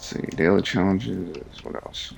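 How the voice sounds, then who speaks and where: The speech is mumbled, with vocal fry. The pace is very slow. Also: man. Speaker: game streamer. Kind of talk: casual gameplay commentary. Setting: live stream, early morning. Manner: mumbling; soft-spoken.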